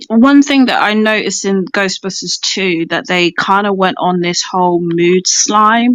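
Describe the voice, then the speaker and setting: With a British accent, a woman talks at a fairly slow pace, with ordinary pitch variation and hardly any pauses. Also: medium pitch for a woman. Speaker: film fan participant. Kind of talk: casual chat. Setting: audio chat room.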